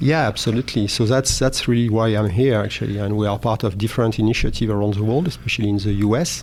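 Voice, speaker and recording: Over noticeable background noise, a man with a French accent and a fairly low voice talks very fast, hardly pausing at all. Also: ordinary pitch variation, very even loudness. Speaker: oil and gas technology manager. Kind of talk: interview. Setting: live event recording. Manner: halting.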